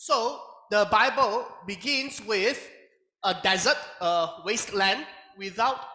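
A man uses a raised, projected voice with lively intonation, with audible room echo and a quiet background. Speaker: Bible class teacher. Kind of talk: lecture. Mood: light, laughs occasionally. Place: classroom.

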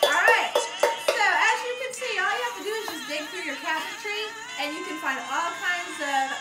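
A woman speaks at a moderate pace while clear music plays behind her. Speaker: music teacher with child. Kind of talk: casual tutorial. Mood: cheerful, playful. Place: kitchen.

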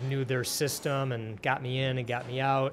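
Faint music plays in the background as a man with an American accent talks at a medium pitch. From Detroit area, Michigan; Michigan. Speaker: podcast host. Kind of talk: interview. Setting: restaurant. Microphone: studio mic.

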